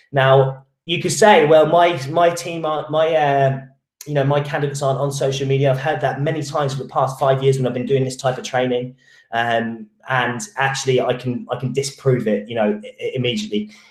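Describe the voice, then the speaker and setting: A man speaks with a fairly high pitch for a man, a somewhat breathy quality, ordinary pitch variation, and a fairly quick pace. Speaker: recruitment marketing trainer. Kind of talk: online training webinar. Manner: fast; halting, many restarts and fillers.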